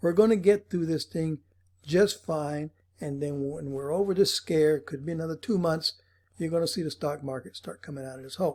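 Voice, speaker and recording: A man speaks in a plain, everyday voice, fairly high in pitch, with ordinary pitch variation and big swings in loudness. His fairly quick delivery comes through on a very clean recording with a silent background. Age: 60s. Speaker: financial advisor. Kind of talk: casual monologue to camera.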